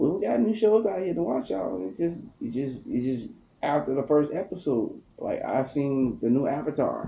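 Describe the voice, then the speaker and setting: A man with a Southern US accent speaks at a moderate pace. His fairly high voice moves in very wide pitch swings. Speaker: podcast co-host. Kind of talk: casual chat.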